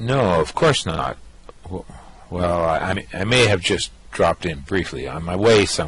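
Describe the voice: This put-on character voice moves at a fairly slow pace, with a fairly bright tone and lively intonation. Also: man, low pitch for a man.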